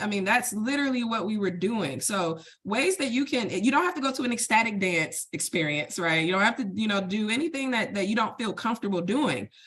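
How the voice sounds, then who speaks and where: Animated and fairly quick, the voice makes very wide pitch swings over noticeable background noise. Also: woman. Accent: American. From Detroit, Michigan, US. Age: 40s. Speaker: wellness event host, accountant. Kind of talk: virtual workshop talk. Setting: video call.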